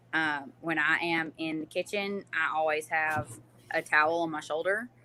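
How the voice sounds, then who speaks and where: In a Southern US accent, a woman speaks with fairly even intonation. Her very deep, low pitch comes with a bright, sharp tone. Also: moderate pace. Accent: Southern US, noticeable. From US South, North Alabama. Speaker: small business owner, home canner. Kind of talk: interview.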